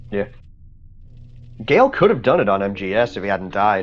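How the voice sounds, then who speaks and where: Lively intonation from a man at a fairly quick pace, with music in the background. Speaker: esports commentator. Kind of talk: live commentary. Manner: fast.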